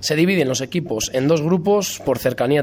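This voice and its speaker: With lively intonation and a fairly quick pace, a man talks over noticeable background noise. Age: 30s. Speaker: football coach. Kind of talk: testimony.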